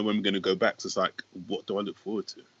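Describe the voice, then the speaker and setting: A man speaks with a London accent and lively intonation. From West London. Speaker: stand-up comedian. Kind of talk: casual chat.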